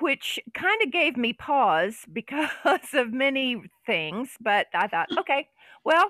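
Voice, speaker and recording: Speaking in a Southern US accent, a woman talks at a very slow pace. Her high voice swings very widely in pitch. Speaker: podcast co-host. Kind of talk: casual chat with drinking and banter.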